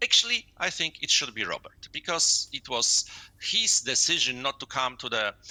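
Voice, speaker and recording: A man with a Polish accent speaks at a moderate pace in a dry, close sound with no echo. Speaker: sports journalist. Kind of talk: interview. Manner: halting, many filler sounds.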